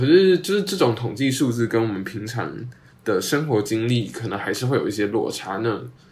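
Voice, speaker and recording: In a room with audible echo, a somewhat breathy man talks at a fairly quick pace with very wide pitch swings. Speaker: podcast host, university student. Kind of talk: casual chat.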